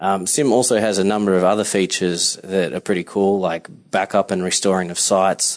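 A man with an Australian accent talks at a fairly quick pace. His pitch is fairly low and his intonation fairly even. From Melbourne, Australia. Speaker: software solutions architect. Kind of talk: recorded voice memo.

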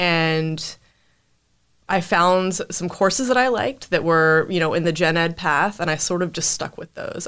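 At a fairly slow pace, a woman with a normal speaking voice talks in a fairly low pitch with ordinary pitch variation, in a very clean recording with a silent background. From US South, North Carolina (Winston-Salem). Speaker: junior software developer, bootcamp graduate. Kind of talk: casual interview.

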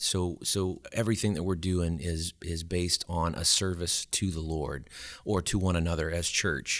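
Speaking at a moderate pace, a man talks with an American accent. The recording is very clean, with a silent background. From Louisiana, Alexandria. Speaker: church music coordinator. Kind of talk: casual chat.

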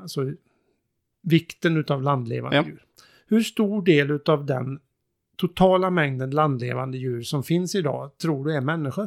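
In a normal speaking voice, a man with a fairly high pitch and ordinary pitch variation talks at a moderate pace, the sound dry and close with no echo on a very clean recording with a silent background. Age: 50s. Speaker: sustainability consultant. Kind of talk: casual chat.

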